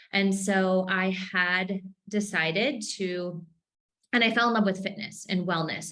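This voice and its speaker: The woman has an American accent. Her voice is medium in pitch. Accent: Minnesota accent, usually muted. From Minnesota. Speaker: entrepreneur. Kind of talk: podcast interview. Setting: home office. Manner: animated.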